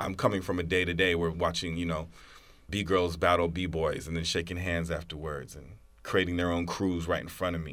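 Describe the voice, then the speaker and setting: A man with an American accent and a very deep, low pitch speaks at a moderate pace in a flat monotone, with audible room echo. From US South, New Orleans. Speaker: teacher and school director. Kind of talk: casual chat.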